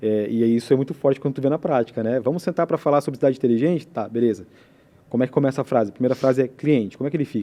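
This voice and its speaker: Speech from this man comes very fast. His voice sits at a medium pitch and varies in an ordinary way. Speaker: telecom company representative. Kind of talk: podcast interview.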